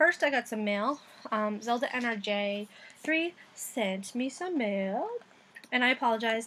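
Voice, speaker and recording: A woman speaks with an American accent. Her fairly high voice moves with lively intonation. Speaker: craft vlogger. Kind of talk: casual vlog. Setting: outdoors.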